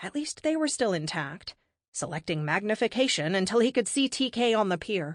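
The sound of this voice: The backdrop is quiet. An unforced reading voice carries the text.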